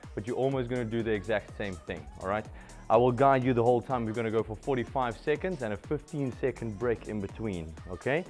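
At a fairly quick pace, a man talks while faint music plays in the background. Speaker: fitness instructor. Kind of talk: workout class instruction. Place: gym. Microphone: headset.

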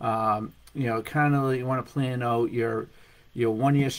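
A man uses ordinary pitch variation while speaking at a moderate pace. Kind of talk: business tip vlog. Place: home room. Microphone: webcam.

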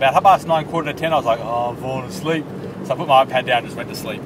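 Background noise is clearly present. Over it, a man talks. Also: dry sound with no echo. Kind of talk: casual vlog chat. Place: car. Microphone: phone near.

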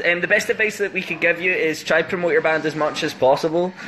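Speaking fairly quickly in a playful tone, a man with a Scottish accent uses a high voice over noticeable background noise. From Scotland, Paisley/Glasgow area. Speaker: band member doing an Instagram live stream. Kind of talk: casual livestream chat answering fan questions. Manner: joking, playful, chatty. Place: home room. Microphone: phone near.

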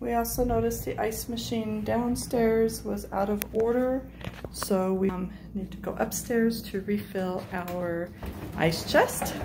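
A woman speaks at a fairly slow pace while noticeable background noise runs behind her. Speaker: travel vlogger. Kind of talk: casual vlog chat. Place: home room. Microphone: phone near.

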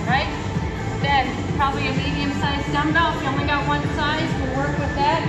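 Loud music plays in the background as the speech moves at a moderate pace. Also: woman. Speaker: fitness instructor. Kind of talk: tutorial. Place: gym. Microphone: camera far.

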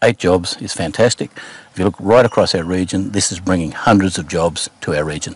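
In a dry sound with no echo, a man with a very deep, low pitch speaks at a fairly quick pace with ordinary pitch variation. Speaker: local council representative. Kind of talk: interview answer. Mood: upbeat, promotional. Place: farm machine.

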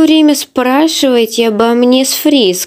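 A high-pitched woman's voice with lively intonation against a quiet background. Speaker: comic dub voice actor. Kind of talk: character dialogue reading of comic. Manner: tipsy, slightly slurred character voice.

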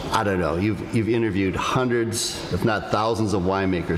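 A man talks at a very fast pace with fairly even intonation. Noticeable background noise runs underneath. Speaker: host. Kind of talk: live podcast talk to audience. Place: hall. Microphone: studio mic.

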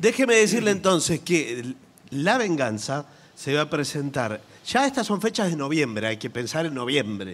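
His pitch is fairly high for a man. The man's voice moves through very wide pitch swings. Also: moderate pace. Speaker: comedian co-host. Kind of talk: live comedy radio show with sketches. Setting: theater stage with audience.

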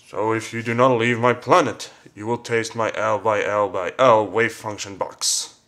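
With a medium pitch and ordinary pitch variation, this man keeps a moderate pace. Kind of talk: comic overacting. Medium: comedy sketch. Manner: smug, gloating.

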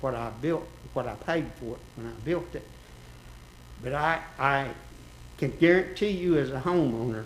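A man talks with ordinary pitch variation. Room echo is audible. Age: 70s. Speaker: resident speaking at public hearing. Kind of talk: public comment at city meeting. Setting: city commission meeting.

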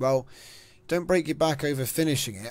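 The man has an unremarkable speaking voice with a fairly high pitch. He moves at a fairly quick pace with ordinary pitch variation. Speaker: gaming channel host. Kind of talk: casual chat.

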